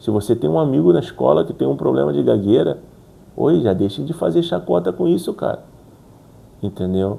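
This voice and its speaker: At a moderate pace broken by long, frequent pauses, a man speaks with a very deep, low pitch, vocal fry and very wide pitch swings. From Brazil. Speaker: YouTuber who stutters. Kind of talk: motivational talk to camera. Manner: repetitions and fillers.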